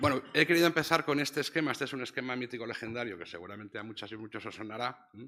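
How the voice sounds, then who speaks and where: A man with a Castilian accent speaks very fast at a medium pitch, with ordinary pitch variation and a bright, sharp tone. His loudness swings widely. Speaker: professor. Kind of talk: lecture. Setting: stage with audience. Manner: soft-spoken.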